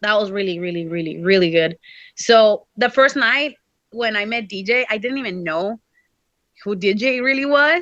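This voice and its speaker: A woman's fairly high, bright, sharp voice in a Mexican accent, at a fairly slow pace with lively intonation and long, frequent pauses. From Mexico. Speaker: professional wrestler. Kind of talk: casual interview. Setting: video call. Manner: casual, filler-heavy speech.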